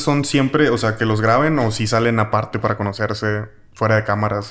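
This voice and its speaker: At a fairly quick pace, a man with a medium pitch keeps his intonation fairly even. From Mexico. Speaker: podcast host. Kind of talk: casual chat. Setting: in person in Mexico City.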